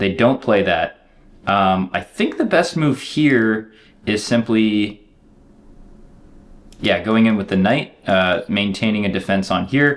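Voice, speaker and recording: With a plain, everyday voice, a man of fairly low pitch speaks at a fairly slow pace using lively intonation. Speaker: chess streamer. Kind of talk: live game commentary. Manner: casual, filler-heavy.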